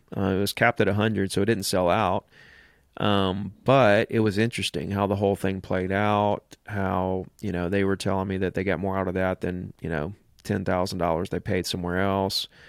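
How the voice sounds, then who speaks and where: A man with a very deep, low pitch speaks at a moderate pace in a monotone, flat manner, the sound dry and close with no echo on a very clean recording with a silent background. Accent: Southern US. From Alabama. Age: 40s. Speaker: real estate agent and coach. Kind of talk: casual interview.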